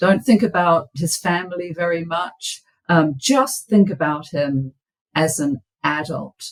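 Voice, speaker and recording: A woman with a New Zealand accent speaks in a fairly low, somewhat breathy voice. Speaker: biblical scholar and author. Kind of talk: podcast interview. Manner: halting, many fillers and repeats.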